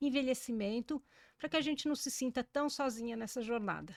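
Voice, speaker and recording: A woman talks in a high voice with ordinary pitch variation. The recording is very clean and dry, with a silent background and a close sound with no echo. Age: 60s. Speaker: journalist and podcast host. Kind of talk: podcast interview.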